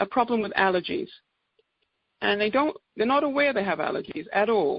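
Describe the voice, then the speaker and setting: A woman with an English accent speaks at medium pitch with lively intonation. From England. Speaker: naturopathic doctor. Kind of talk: presentation on conference call.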